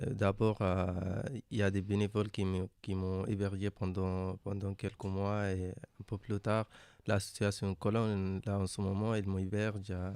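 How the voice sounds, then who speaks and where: A man with a non-native accent speaks fairly slowly at a fairly low pitch, in a flat monotone with a dark, mellow tone. The sound is dry and close with no echo, and the recording is very clean with a silent background. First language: not French (speaking French). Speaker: migrant interviewee. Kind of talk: interview. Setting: radio studio in a hostel. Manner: halting.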